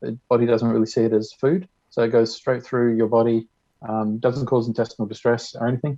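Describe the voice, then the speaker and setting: With an Australian accent, this speaker moves along at a fairly quick clip. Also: man. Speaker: conference speaker. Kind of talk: short presentation. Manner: fast.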